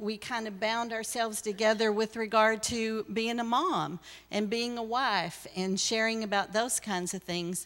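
Using an ordinary speaking voice, a woman speaks with fairly high pitch and fairly even intonation. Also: very clean recording, silent background. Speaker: church member. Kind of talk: testimony. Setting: church.

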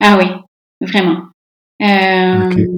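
With fairly even intonation, the woman talks very slowly. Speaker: surgeon and medical professor. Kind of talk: interview.

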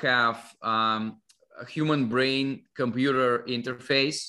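Very slow and monotone, a man speaks with flat intonation. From Russia. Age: 50s. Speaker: longevity investor and author. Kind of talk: interview.

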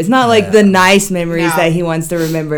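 This woman talks at a very fast pace with a fairly low pitch and ordinary pitch variation. Noticeable background noise sits behind her. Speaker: podcast co-host.

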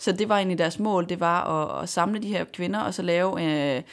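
An ordinary speaking voice from a woman at a moderate pace, with ordinary pitch variation, on a very clean recording with a silent background. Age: 20s. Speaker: racing driver. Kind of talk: interview. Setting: studio.

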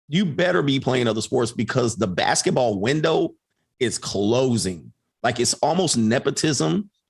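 A somewhat breathy man of medium pitch speaks at a fairly slow pace, his pitch swinging very widely while his loudness stays very even. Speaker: coach and online content creator. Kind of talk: casual conversation. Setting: live stream.

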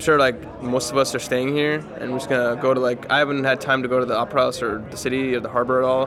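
A man with an American accent at a medium pitch, very fast pace and fairly even intonation, over noticeable background noise. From United States. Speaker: esports player. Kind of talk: interview. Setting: tournament venue. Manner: casual, filler-heavy.

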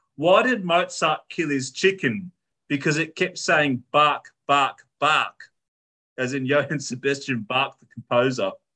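A man with an Australian accent speaks at a fairly slow pace with a fairly high pitch, ordinary pitch variation and a bright, sharp tone, in a dry, close sound with no echo. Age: 30s. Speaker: podcast host. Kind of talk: casual chat.

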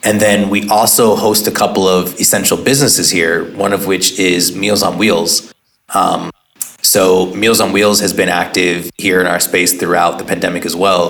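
In a Californian accent, a man with a very deep, low pitch speaks at a moderate pace with monotone, flat intonation and very even loudness. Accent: Californian American. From Oakland, California. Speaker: entrepreneur and activist. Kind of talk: interview.

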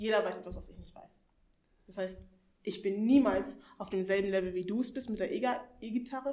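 Amid audible room echo, a woman talks fairly quickly in a fairly high voice with fairly even intonation. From Hannover, northern Germany. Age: 20s. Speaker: seminar participant. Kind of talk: casual chat. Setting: seminar room with live audience.

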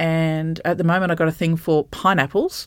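A woman speaks at a fairly low pitch on a very clean recording with a silent background. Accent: Australian. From regional Queensland, Australia (Bundaberg). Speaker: associate professor. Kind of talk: interview conversation.

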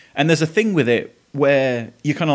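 Fairly high in pitch and fairly quick, a man speaks with lively intonation in an Essex accent. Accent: southern English (Essex). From Essex, England. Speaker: podcast host. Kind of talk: casual monologue.

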